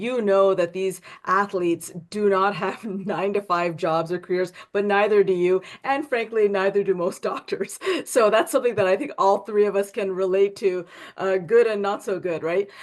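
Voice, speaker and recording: This woman's medium-pitched voice moves at a moderate pace, its pitch varying in an ordinary way. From Canada (Toronto). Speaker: physician and interview host. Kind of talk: interview. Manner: hesitant.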